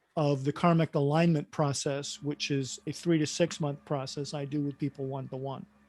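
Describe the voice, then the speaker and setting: A man's fairly high, unremarkable speaking voice, an unremarkable speaking voice at a fairly slow pace with fairly even intonation. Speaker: workshop facilitator and coach. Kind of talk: online workshop group discussion.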